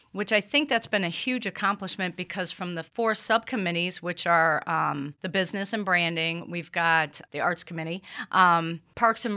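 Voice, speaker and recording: An ordinary speaking voice from a woman with an American accent, medium pitch, moderate pace and ordinary pitch variation, on a very clean recording with a silent background. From US Midwest, Cleveland, Ohio. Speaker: small business owner and community board member. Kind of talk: interview. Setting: studio.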